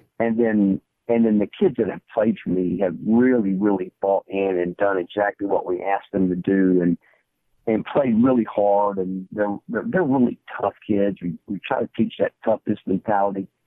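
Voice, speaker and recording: At a moderate pace, a man with fairly even intonation talks in an unremarkable speaking voice. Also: fairly low pitch for a man. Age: 60s. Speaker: high school football coach. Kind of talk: podcast interview.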